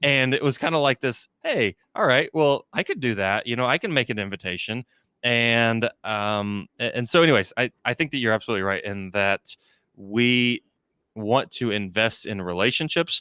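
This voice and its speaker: Very cleanly recorded against silence, a man talks at a moderate pace and a medium pitch with ordinary variation. His tone is bright and sharp, and the sound is dry and close with no echo. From Texas, Houston area. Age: 30s. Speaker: fundraising consultant, company president. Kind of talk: podcast interview. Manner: many fillers and restarts.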